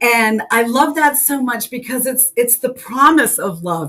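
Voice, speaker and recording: A woman with a New England accent speaks at a fairly slow pace against noticeable background noise. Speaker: co-host, spiritual content creator. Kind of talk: casual chat. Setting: live stream.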